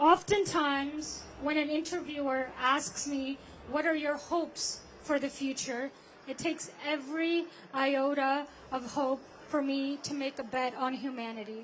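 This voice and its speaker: The intonation stays fairly even. The pace is fairly slow. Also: woman, high pitch for a woman. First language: not English. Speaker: climate activist speaker. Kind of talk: protest rally speech. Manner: halting, with self-corrections.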